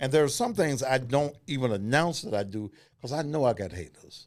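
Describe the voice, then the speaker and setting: A man is talking. The background is silent, and the recording is very clean. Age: 60s. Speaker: radio host. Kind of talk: casual chat.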